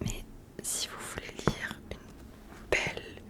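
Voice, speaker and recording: Very slow whispering from a woman, with noticeable noise in the background. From southwest France. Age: 20s. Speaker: ASMR creator. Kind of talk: casual talk to camera, book review.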